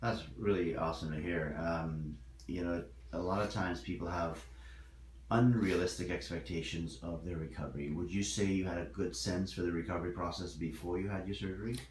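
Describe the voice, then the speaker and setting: Vocal fry colors a man's very deep, low pitch as he speaks at a fairly quick pace with ordinary pitch variation. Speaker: oral and maxillofacial surgeon. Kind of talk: interviewer questions to patient.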